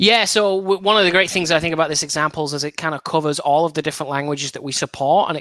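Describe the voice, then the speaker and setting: Speaking very fast with an English accent, a man has a fairly high-pitched voice with a bright, sharp tone. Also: dry, close sound with no echo. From northern England, Burnley. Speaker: software developer advocate. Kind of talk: podcast interview.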